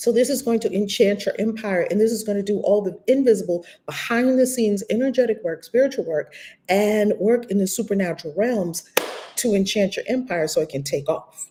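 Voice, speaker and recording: With a New York accent, a woman speaks at a fairly quick pace in a fairly high pitch, with an animated tone and ordinary pitch variation. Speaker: spiritual teacher and coach. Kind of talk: live-stream teaching. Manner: fast.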